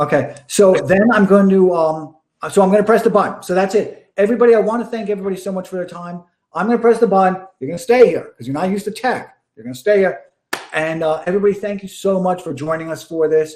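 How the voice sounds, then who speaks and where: A man's high-pitched, animated voice at a very fast pace, with big swings in loudness. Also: ordinary pitch variation. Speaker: live stream interviewer. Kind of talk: casual chat.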